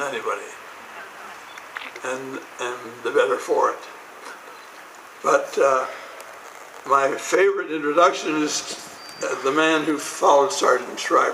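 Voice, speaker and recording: A man speaks at a moderate pace with long, frequent pauses, amid noticeable background noise and audible room echo. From Montana, US. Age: 80s+. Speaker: former prize fighter and Peace Corps official. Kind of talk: ceremonial speech. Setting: outdoors with audience.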